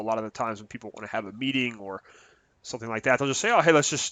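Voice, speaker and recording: Pitched in the medium range, a man's voice shows ordinary pitch variation. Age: 30s. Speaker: gaming YouTuber. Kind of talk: casual video commentary. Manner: halting, many fillers.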